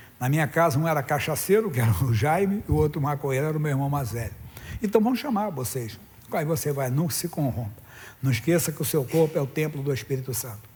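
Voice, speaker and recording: Somewhat breathy, this voice races along at a very fast pace with lively intonation. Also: man, fairly high pitch for a man. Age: 60s. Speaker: pastor. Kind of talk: sermon.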